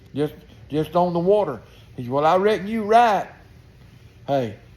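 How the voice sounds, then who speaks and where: Talking at a moderate pace, the man has a Southern US accent. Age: 70s. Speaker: retired tradesman vlogger. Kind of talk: casual monologue. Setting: outdoors on porch.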